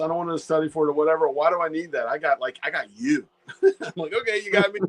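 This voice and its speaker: Fairly high-pitched and fairly quick, a man with an unremarkable speaking voice uses lively intonation in a dry, close sound with no echo. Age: 60s. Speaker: ham radio YouTuber. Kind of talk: casual chat.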